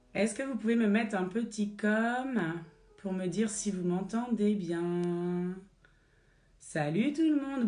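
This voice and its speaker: A woman's medium-pitched voice with a dark, mellow tone and lively intonation, very slow in pace, with audible room echo. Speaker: fitness instructor. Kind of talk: live-streamed Pilates class. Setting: livestream from a child's bedroom at home. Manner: instructive, cueing exercises.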